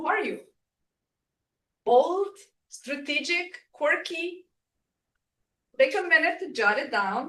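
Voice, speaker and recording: A woman with a non-native accent and a bright, sharp tone at a fairly slow pace. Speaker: workshop presenter. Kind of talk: workshop presentation. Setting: room with live and online audience.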